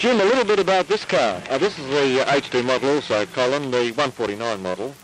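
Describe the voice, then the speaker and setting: With a dry sound and no echo, a man talks at a moderate pace in an upbeat tone, his pitch swinging very widely over light background noise. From Australia. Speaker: commercial presenter. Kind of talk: vintage TV commercial, polished salesman patter. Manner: smooth, upbeat, hard-sell. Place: street. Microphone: handheld.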